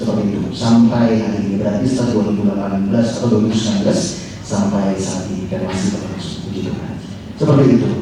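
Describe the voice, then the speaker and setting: Amid noticeable background noise and audible room echo, a man speaks very fast at a fairly low pitch. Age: 20s. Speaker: social media consultant and former radio announcer. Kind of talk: talk show conversation. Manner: animated.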